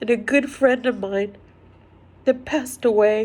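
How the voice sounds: A woman's fairly high-pitched voice at a slow pace, with ordinary pitch variation.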